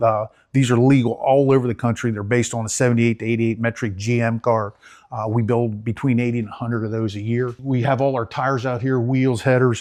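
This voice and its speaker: A man with a Central Pennsylvania accent on a very clean recording with a silent background. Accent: Central Pennsylvania American. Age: 60s. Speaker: race parts business owner. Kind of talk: guided shop tour interview. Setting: on location in a warehouse.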